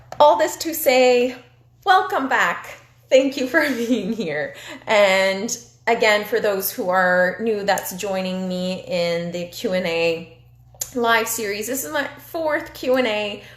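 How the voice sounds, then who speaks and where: Pitch swings very widely at a very slow pace, with audible room echo around the voice. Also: woman, fairly high pitch for a woman. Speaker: recreation therapy interviewer. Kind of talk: live-stream Q&A. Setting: Instagram live video. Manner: animated.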